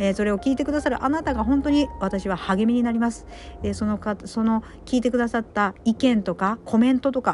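Against music in the background, a woman talks at a fairly quick pace with ordinary pitch variation. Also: fairly high pitch for a woman. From Kyushu, Japan. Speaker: podcaster. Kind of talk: casual solo talk. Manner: polite, many filler words.

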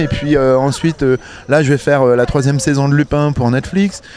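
Here is a man's voice. Its pitch is fairly high. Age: 40s. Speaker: audio describer. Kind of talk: interview. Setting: outdoors.

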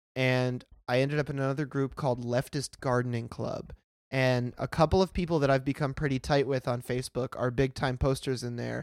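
A man with a fairly high pitch uses an ordinary speaking voice with an American accent, talking at a moderate pace in a dry, close sound with no echo. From US, Pennsylvania (Pittsburgh). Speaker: podcast guest. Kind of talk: casual chat.

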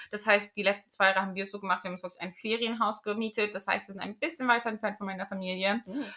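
Speaking at a very fast pace with hardly any pauses, a woman delivers a bright, sharp tone at medium pitch with fairly even intonation. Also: big swings in loudness. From Germany, Magdeburg area (Saxony-Anhalt). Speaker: podcast host. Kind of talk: casual chat.

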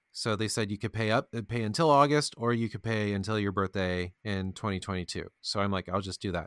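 A man with an American accent speaks at a fairly low pitch with ordinary pitch variation and hardly any pauses. The recording is very clean, with a silent background. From US Midwest (Kentucky, Indiana). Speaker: podcast co-host, IT worker. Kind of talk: casual chat.

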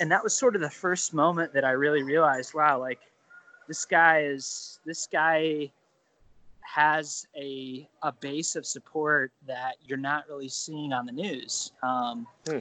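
A man's fairly high, bright and sharp voice with a Midwestern American accent, fairly slow and fairly even in intonation, dry and close with no echo. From Ohio, US Midwest. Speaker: political journalist. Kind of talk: casual interview.

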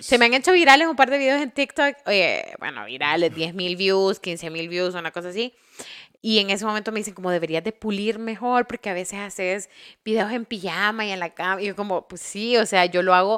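A woman talks fairly quickly in an ordinary speaking voice. Her loudness swings a great deal. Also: medium pitch for a woman, lively intonation. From Honduras. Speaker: podcast host. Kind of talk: interview.

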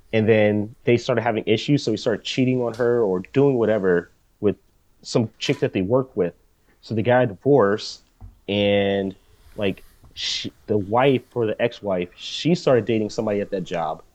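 An unremarkable speaking voice belongs to a man with an American accent and a fairly low pitch. He keeps a moderate pace and ordinary pitch variation in a dry, close sound with no echo. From United States. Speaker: podcast co-host. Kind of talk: casual chat.

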